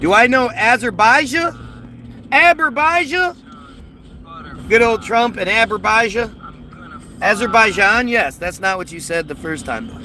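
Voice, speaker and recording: With an American accent and a raised, projected voice, a man speaks at a high pitch and a fairly slow pace, with very wide pitch swings and long, frequent pauses, against noticeable background noise. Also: big swings in loudness. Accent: American accent noticed by a viewer. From United States. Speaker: conspiracy livestreamer. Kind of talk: casual livestream chat reading viewer comments. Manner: halting with frequent repetitions.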